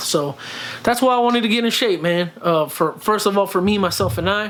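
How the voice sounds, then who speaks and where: A high-pitched male voice at a fairly quick pace, with ordinary pitch variation. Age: 30s. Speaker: vlogger and fitness journey creator. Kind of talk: casual vlog Q&A. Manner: speaks from the throat, friendly tone; halting, many fillers and repeats.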